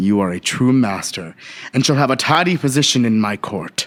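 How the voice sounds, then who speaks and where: Using a put-on character voice, a man speaks with lively intonation. His pitch is medium and his pace moderate. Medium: stage play. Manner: cold, commanding.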